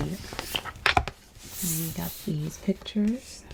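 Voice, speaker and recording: A woman's gentle, fairly low voice at a fairly slow pace, over noticeable background noise. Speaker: babysitter role-play ASMR performer. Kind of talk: ASMR role-play storybook reading. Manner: soft-spoken, gentle.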